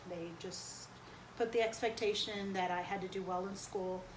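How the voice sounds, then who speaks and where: In an American accent, a woman talks at a medium pitch and a moderate pace, with noticeable background noise and audible room echo. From US Northeast, New Jersey (Perth Amboy), Cuban family. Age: 40s. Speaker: interviewee. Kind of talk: interview. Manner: hesitant, many fillers.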